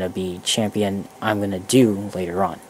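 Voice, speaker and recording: Quiet and monotone, a man talks at a moderate pace in a fairly low voice with flat intonation. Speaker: gaming tutorial video creator. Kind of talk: tutorial. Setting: headset mic at a computer. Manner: rambling, casual.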